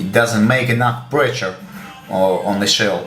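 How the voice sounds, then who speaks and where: A man speaks with a Russian accent and ordinary pitch variation. Music plays in the background, and the room echo is audible. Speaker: gun hobbyist. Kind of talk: tutorial. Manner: halting, many fillers.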